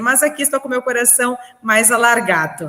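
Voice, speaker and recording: A woman talks at a moderate pace in a gaúcho accent. Noticeable background noise runs behind her. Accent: gaúcho southern Brazilian. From southern Brazil, Rio Grande do Sul. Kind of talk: podcast interview. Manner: energetic.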